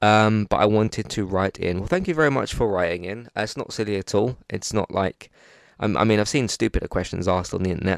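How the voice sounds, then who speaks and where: With a British accent, a man speaks very fast at a fairly low pitch with ordinary pitch variation, in a dry, close sound with no echo and a quiet background. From UK. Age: 20s. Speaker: podcast host. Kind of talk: casual chat.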